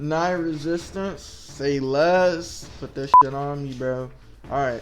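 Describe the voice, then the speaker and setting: In a room with audible echo, a man with a fairly high pitch talks very slowly in fairly even intonation. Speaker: gaming youtuber. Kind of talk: gameplay commentary. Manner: stuttering; casual rambling.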